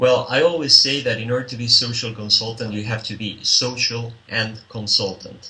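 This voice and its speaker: A man with a Spanish accent and fairly even intonation. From Spain. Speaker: social consultant and business developer. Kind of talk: interview answer.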